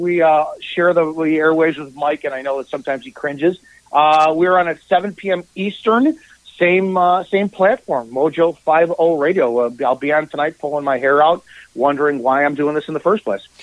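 A man's fairly high pitch, a normal speaking voice with ordinary pitch variation, at a moderate pace. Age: 40s. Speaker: radio talk show host. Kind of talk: casual chat.

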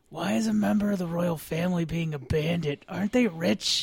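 Someone whispers in a put-on character voice at a fairly quick pace. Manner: stage whisper.

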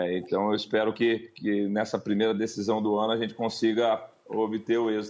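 At a moderate pace, a man talks in a fairly low pitch with monotone, flat intonation and very even loudness. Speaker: football coach. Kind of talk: radio interview. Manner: halting.

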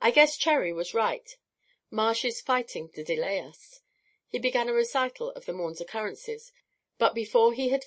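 Plain reading aloud, background quiet

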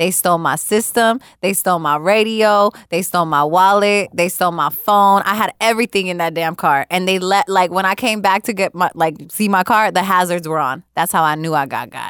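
This is a plain, everyday voice moving at a fairly quick pace with hardly any pauses. The sound is dry and close, with no echo. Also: woman, medium pitch for a woman, ordinary pitch variation. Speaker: podcast host. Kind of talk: casual chat.

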